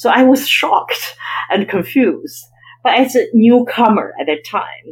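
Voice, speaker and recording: A woman with a Chinese accent at a fairly slow pace. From China (Beijing). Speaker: investment banker and author. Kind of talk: interview.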